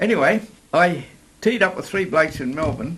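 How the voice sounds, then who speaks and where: A man speaking at a fairly quick pace over noticeable background noise. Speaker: older adventure sportsman. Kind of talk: interview storytelling. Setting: outdoors in a park.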